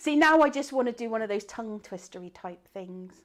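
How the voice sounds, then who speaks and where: A woman with a Bristolian accent, fairly high pitch and lively intonation. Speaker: craft teacher and live event host. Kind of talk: live stream bingo game. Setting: live online stream. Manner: animated.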